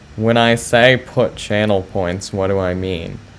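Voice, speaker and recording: Fairly slow speech from a man, with noticeable noise behind it. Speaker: chess streamer. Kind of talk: live stream chat with viewers. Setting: live stream. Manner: hesitant, many fillers.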